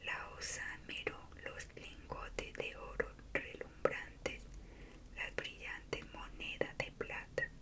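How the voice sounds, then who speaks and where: A woman whispers at a very slow pace. Noticeable background noise runs behind her. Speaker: ASMR creator. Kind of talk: bedtime story reading. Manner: whispered.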